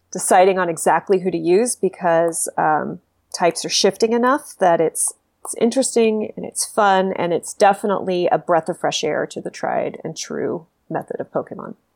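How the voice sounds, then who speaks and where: At a moderate pace, a woman with an American accent speaks at a medium pitch in an ordinary speaking voice. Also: ordinary pitch variation, big swings in loudness. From Texas. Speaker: games writer and reviewer. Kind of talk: casual chat.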